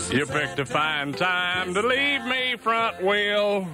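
A man uses a raised, projected voice with a playful tone. He speaks at a very slow pace with lively intonation. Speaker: country radio DJ. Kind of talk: 1981 country radio DJ aircheck, promos, station IDs and song intros. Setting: radio studio broadcast. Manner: playful trucker-slang banter with a folksy, hyped-up radio delivery.

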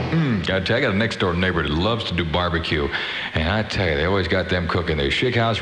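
A man talks at a very fast pace in an upbeat, animated tone over noticeable background noise. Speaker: radio DJ. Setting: radio broadcast. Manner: fast, upbeat, jokey and animated, with a wisecracking, high-energy DJ delivery.

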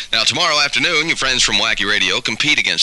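Very fast speech from a man, noticeable background noise all around. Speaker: radio DJ. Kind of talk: 1970s top-40 radio DJ patter: weather, song plugs, promos. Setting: radio broadcast. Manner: fast, upbeat, jokey, ad-libbing.

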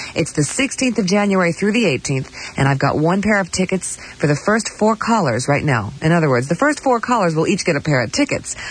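An upbeat, playful tone at a fairly quick pace, with very wide pitch swings, very even loudness, hardly any pauses and noticeable background noise. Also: woman, fairly low pitch for a woman. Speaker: radio DJ. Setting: radio broadcast. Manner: smooth, upbeat, breezy, quick-paced announcer delivery with playful asides and laughs.

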